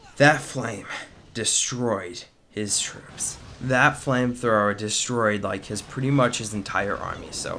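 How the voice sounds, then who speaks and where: A man speaks at a fairly slow pace in a medium pitch with ordinary pitch variation. Noticeable background noise and audible room echo surround him. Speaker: gaming video commentator. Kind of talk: gameplay commentary. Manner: casual, many filler words.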